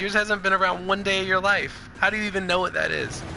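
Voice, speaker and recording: Amid noticeable background noise, a man with a high pitch talks at a very fast pace in a raised, projected voice. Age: 20s. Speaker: gamer streamer. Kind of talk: heated argument over game chat. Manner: animated.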